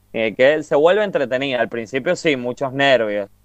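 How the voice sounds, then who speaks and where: A man speaks at a medium pitch. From Argentina, Mendoza. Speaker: podcast co-host. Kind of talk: casual chat.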